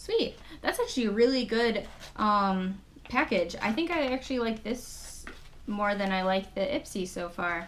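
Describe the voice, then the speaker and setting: Light background noise sits behind a voice with lively intonation and a moderate pace. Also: woman, fairly high pitch for a woman. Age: 20s. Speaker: beauty YouTuber. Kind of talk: casual unboxing vlog. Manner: animated. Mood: cheerful, mildly excited. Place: home room. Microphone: webcam.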